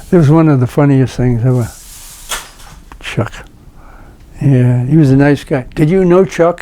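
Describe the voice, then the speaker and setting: Over noticeable background noise, a man with a fairly high voice speaks at a fairly slow pace with long, frequent pauses, ordinary pitch variation and very even loudness. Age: 90s. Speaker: interviewee sharing life stories. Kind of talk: casual chat.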